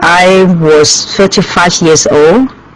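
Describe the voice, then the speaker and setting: Noticeable background noise behind a woman with a Chinese accent. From Hong Kong. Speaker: restaurant owner. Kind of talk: interview. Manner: halting.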